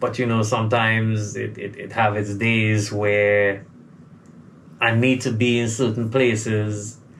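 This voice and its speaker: Fairly slow, medium-pitched male speech with audible room echo. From Trinidad and Tobago, south Trinidad. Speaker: soca recording artist. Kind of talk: interview.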